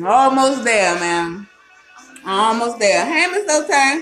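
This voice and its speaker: Beneath a woman's speech, music can be heard faintly. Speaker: home cocktail host. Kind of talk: casual livestream chat. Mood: playful, laughing. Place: kitchen. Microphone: phone near.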